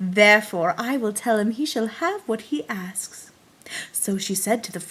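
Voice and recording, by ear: Someone reads the text aloud in a natural voice, the intonation lively throughout.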